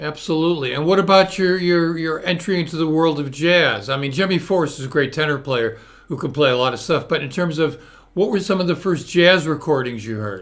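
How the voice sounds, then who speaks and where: A man with a Northeastern US accent speaks at a fairly high pitch. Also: ordinary pitch variation. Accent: American Northeast. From US Northeast, Hartford Connecticut. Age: 70s. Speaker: interview show host. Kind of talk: casual interview chat. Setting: live video stream.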